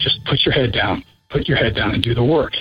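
At a medium pitch, a man speaks with a slightly husky edge.

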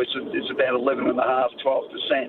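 Noticeable background noise accompanies a man speaking with an Australian accent. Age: 60s. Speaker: radio caller. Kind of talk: phone-in question.

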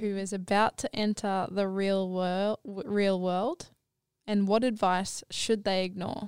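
Here is a woman with an Australian accent at a very slow pace. The sound is dry and close, with no echo. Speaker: podcast host.

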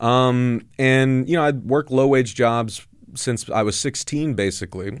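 In a very clean recording with a silent background, a man with an American accent speaks at a medium pitch. He has an ordinary speaking voice, ordinary pitch variation and a fairly slow pace. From Southern California. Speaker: journalist and labor podcast host. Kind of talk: casual interview. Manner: many fillers (uh, um, you know).

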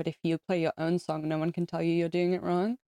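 In an English accent, a woman speaks very fast in a fairly low, dark, mellow tone with monotone, flat intonation, the sound dry and close with no echo. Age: 30s. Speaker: musician. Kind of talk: casual chat.

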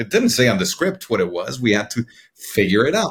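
A man with a Spanish accent is heard in a very clean recording with a silent background. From Mexico City, Mexico. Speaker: cinematographer. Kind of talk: interview. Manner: halting.

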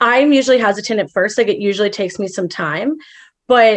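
In an American accent, a woman uses a normal speaking voice, fairly high in pitch with ordinary pitch variation, talking at a fairly quick pace over a quiet background. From Chicago. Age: 20s. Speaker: caller. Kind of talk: advice call.

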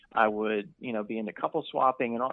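Fairly quick talking from a man. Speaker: anonymous guest. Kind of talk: personal storytelling. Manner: proper.

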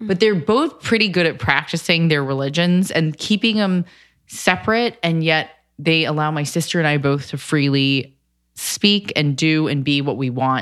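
A woman speaks with an American accent in a very deep, low pitch. Her intonation is lively. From United States. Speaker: cookbook author. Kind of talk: casual chat.

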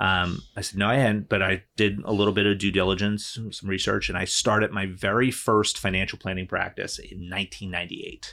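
With an American accent, a man talks in a fairly low pitch and a bright, sharp tone, his intonation monotone and flat, with hardly any pauses, in a very clean recording over a silent background. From New Jersey. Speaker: attorney and business coach. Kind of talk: casual interview chat.

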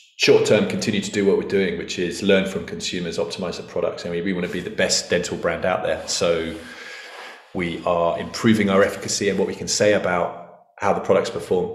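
Fairly quick talk from a man amid noticeable background noise. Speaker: entrepreneur. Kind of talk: interview. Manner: loud.

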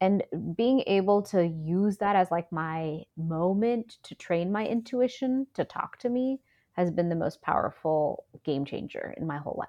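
With an American accent and a normal speaking voice, a woman at medium pitch uses lively intonation at a fairly slow pace. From Houston, Texas, with Indian family. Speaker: Ayurvedic practitioner. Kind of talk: interview.

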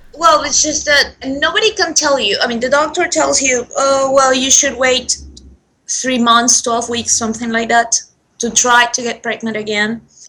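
A woman speaks in a raised, projected voice with a high pitch. Her pace is fairly slow, and her pitch varies in an ordinary way. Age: 20s. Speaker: English teacher sharing pregnancy loss story. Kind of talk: personal testimony. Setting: Skype call.

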